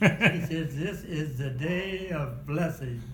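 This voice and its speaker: Through noticeable background noise, a man talks at a very slow pace in a fairly high pitch. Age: 80s+. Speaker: war veteran. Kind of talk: interview answer.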